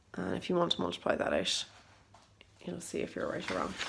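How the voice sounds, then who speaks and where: A woman speaks with an Irish accent. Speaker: maths teacher. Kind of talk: tutorial.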